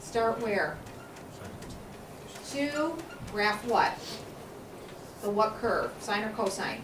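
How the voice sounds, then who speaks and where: With noticeable background noise and audible room echo, a woman talks at a very slow pace in a fairly high voice, leaving long, frequent pauses. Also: ordinary pitch variation. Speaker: math teacher. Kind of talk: classroom lecture. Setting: classroom with students.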